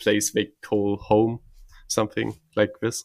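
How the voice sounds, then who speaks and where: A man speaks with a strong German accent. The recording is very clean, with a silent background. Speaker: podcast host. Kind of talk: interview.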